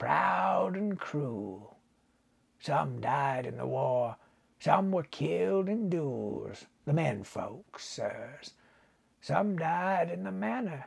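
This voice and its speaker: Putting on a character voice, a man mumbles at a very slow pace with a fairly high pitch. His pitch swings very widely. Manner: slow, mumbling, dreamy.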